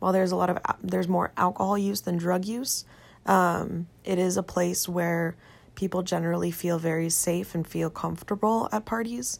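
On a very clean recording with a silent background, a woman of fairly low pitch talks at a moderate pace. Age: 20s. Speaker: podcast host, college student. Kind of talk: solo podcast monologue. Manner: halting, many fillers.

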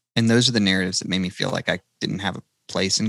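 A man with a Southern US accent, fairly low in pitch and very fast in pace, in a dry, close sound with no echo. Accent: Southern, re-embraced after suppressing it. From North Carolina. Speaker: country singer-songwriter. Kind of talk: podcast interview. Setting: podcast recording.

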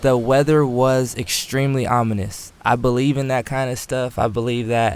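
A man's medium-pitched voice, a normal speaking voice, with fairly even intonation. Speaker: cinematographer. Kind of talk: storytelling anecdote.

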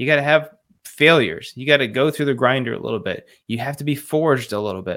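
On a very clean recording with a silent background, a man with a plain, everyday voice and fairly high pitch talks at a fairly quick pace with lively intonation. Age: 30s. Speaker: leadership and dad coach. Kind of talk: interview conversation.

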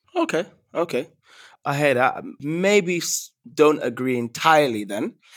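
A man with an unremarkable speaking voice talks at a moderate pace with a fairly high pitch. His intonation is lively, and the recording is very clean with a silent background. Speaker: podcast host. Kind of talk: interview conversation. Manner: thoughtful, hedging with filler words.

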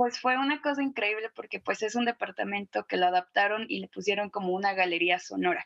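A plain, everyday voice with lively intonation, a fairly quick pace and hardly any pauses. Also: woman, medium pitch for a woman. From Guadalajara, Mexico. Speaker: musician. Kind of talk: interview.

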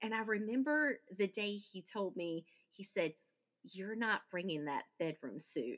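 An unremarkable speaking voice with lively intonation and a fairly slow pace. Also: woman, medium pitch for a woman. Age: 40s. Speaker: podcaster and widow. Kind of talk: casual interview.

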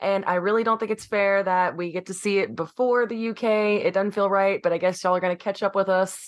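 A woman speaks in an ordinary speaking voice at a medium pitch. Her pace is fairly quick and her intonation fairly even. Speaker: podcast co-host. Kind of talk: casual chat.

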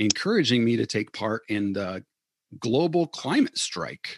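A man with an Upper Midwest accent at a moderate pace, ordinary pitch variation, dry, close sound with no echo, and a quiet background. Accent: Upper Midwest American. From Michigan, Battle Creek. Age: 40s. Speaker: church deacon, lay activist. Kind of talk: casual interview conversation. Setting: remote call from home.

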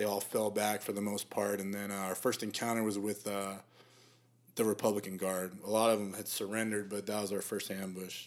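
A man with an American accent talks at a fairly quick pace, his fairly low pitch held in a monotone, flat intonation. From Arizona, South Phoenix. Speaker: Marine veteran and videographer. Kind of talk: casual interview.

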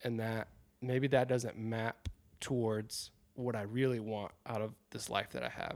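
A man with an American accent, medium in pitch, in a monotone, flat intonation at a fairly slow pace. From South Carolina. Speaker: outdoor photographer and podcaster. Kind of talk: casual interview.

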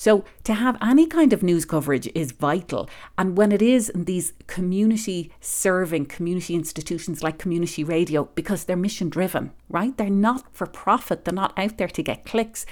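At a moderate pace, a woman with a medium pitch is heard on a very clean recording with a silent background. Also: ordinary pitch variation. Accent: Irish. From Ireland. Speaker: public radio managing editor. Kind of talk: interview.

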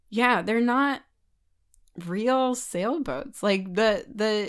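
At a very slow pace, a woman with an American accent speaks in a fairly high pitch. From California, San Francisco Bay Area. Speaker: sailor and bosun. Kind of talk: casual interview chat.

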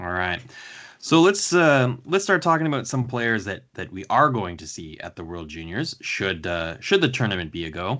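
In a Canadian accent, a man speaks at a medium pitch and a moderate pace, his bright, sharp voice making very wide pitch swings and big swings in loudness over a quiet background. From Canada. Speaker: hockey podcast host and scout. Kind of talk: casual interview chat.

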